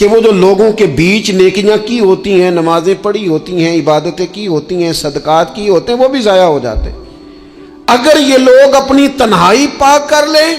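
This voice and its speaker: A man's high voice makes very wide pitch swings over noticeable background noise. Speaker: Islamic preacher. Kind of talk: religious sermon. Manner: emotional, earnest.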